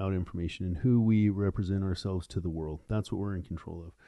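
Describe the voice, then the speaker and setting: Using an unremarkable speaking voice, a man with a fairly low pitch and ordinary pitch variation talks at a fairly quick pace. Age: 50s. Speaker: entrepreneur and podcaster. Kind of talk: casual interview chat. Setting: podcast studio.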